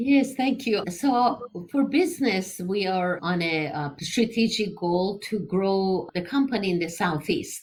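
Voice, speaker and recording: With an Iranian accent, a woman speaks at a fairly slow pace and medium pitch, somewhat breathy, with lively intonation and hardly any pauses. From Iran, Tehran. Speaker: engineering entrepreneur. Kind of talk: interview.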